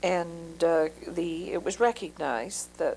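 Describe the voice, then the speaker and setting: A woman's fairly low voice with vocal fry and ordinary pitch variation. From Moncton, New Brunswick, Canada. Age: 50s. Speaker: social worker. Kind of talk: oral history interview. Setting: interviewee's home. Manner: hesitant, many fillers.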